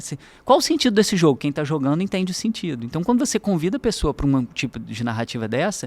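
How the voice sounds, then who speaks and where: The speech runs at a very fast pace with very wide pitch swings. The recording is very clean, with a silent background. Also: man. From Brazil, Minas Gerais (Juiz de Fora). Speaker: university professor. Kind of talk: podcast interview.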